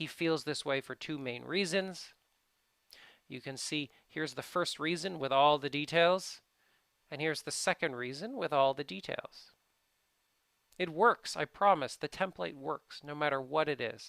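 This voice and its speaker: With long, frequent pauses, this bright, sharp voice has ordinary pitch variation and a dry, close sound with no echo. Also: man, fairly high pitch for a man, moderate pace. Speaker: English test prep teacher. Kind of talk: tutorial.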